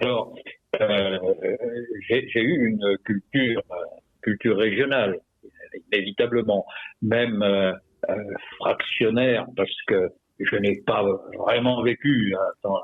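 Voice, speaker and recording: Speaking very slowly with long, frequent pauses, a man keeps a medium pitch, fairly even intonation and very even loudness. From France, Perpignan area (Catalan roots), raised partly in Morocco/Algeria. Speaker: retired army general and author. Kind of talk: radio interview. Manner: halting, many hesitations.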